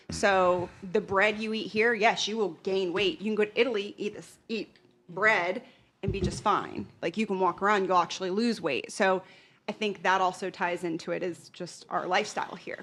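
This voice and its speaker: A woman with a normal speaking voice talks in a medium pitch. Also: ordinary pitch variation, moderate pace. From United States. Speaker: podcast panel guest. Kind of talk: casual group discussion.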